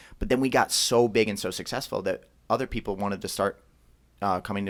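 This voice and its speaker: Recorded very cleanly against a silent background, a man speaks with an American accent. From Philadelphia, US. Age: 30s. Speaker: martial arts gym owner. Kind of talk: podcast interview.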